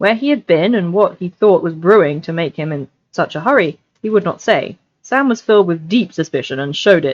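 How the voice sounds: Lively intonation shapes a natural reading voice, and the background stays quiet.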